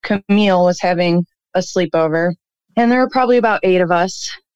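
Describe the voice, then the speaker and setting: A woman with an American accent and an unremarkable speaking voice, medium in pitch with ordinary pitch variation, in a dry, close sound with no echo. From Cleveland, Ohio. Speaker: caller. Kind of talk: storytelling, childhood ghost story. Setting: phone call.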